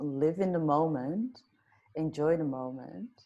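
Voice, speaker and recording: A woman with a Dutch accent speaks at a very slow pace. Her voice is very deep and low, with a dark, mellow tone. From Netherlands, Amsterdam. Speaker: life coach. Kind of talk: interview.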